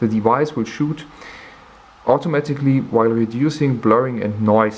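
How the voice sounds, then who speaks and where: Over noticeable background noise, a man speaks at medium pitch and a moderate pace with lively intonation. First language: not English. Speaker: camera reviewer. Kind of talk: tutorial. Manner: halting.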